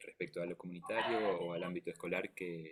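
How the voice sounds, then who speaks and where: This is a man's voice. He is soft-spoken. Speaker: music therapist. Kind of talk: lecture. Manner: halting. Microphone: too quiet.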